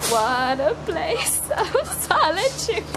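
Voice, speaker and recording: Loud background noise runs beneath a woman speaking. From Ireland. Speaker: makeup student. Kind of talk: casual vlog talk to camera. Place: train. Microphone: phone near.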